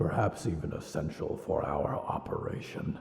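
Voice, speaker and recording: A man performs a put-on character voice. There is a slight echo. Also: moderate pace. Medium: audio drama. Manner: measured, practical.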